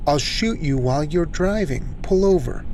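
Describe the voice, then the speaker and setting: Using a put-on character voice, a man talks at a high pitch and a moderate pace over clear background noise. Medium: read story. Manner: curt, menacing.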